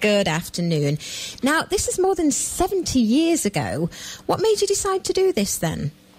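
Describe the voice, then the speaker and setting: Over noticeable background noise, a woman speaks at a moderate pace with very even loudness. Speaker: radio show host. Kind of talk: radio interview questions.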